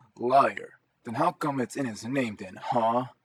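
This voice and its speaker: Putting on a character voice, the man talks at a fairly slow pace and medium pitch. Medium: read story. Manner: sarcastic, teasing.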